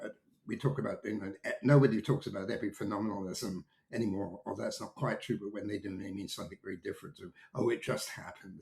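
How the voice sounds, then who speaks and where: Loudness swings widely as a man with an American accent talks very fast, his fairly low pitch varying in an ordinary way. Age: 70s. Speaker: technology market analyst. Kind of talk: interview conversation. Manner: hesitant, many fillers and restarts.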